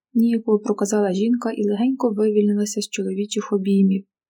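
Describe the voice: The intonation remains fairly even during this plain reading aloud.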